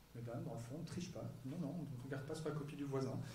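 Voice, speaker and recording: A man talks at a very fast pace with fairly even intonation, and audible room echo surrounds his voice. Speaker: psychology professor. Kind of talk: lecture. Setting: stage with audience.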